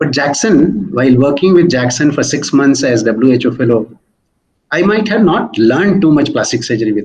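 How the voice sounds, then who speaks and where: With an Indian accent, a man speaks at a moderate pace in a somewhat breathy, fairly high-pitched voice with lively intonation. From India, Hindi-speaking. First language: Hindi. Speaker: senior plastic surgeon. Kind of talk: interview.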